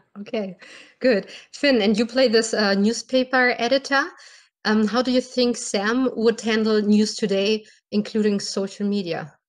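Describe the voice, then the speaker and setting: On a very clean recording with a silent background, a woman with a German accent speaks at a fairly high pitch with fairly even intonation. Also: moderate pace. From Germany. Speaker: podcast host. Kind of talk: interview.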